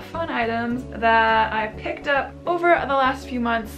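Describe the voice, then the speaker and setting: A woman's speech comes with clear music in the background. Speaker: fashion vlogger. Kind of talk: casual vlog chat. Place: home room.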